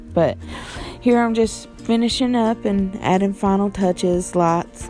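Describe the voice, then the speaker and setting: With music playing behind her, a woman speaks at a moderate pace in an American accent. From West Virginia. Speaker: painter. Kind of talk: casual voice-over narration of painting video.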